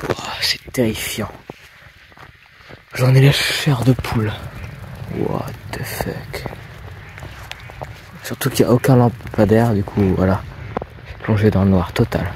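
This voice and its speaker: Against noticeable background noise, a man speaks at a medium pitch and fairly slow pace with ordinary pitch variation and long, frequent pauses. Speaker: nature vlogger. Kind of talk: casual vlog narration outdoors. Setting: outdoors at night.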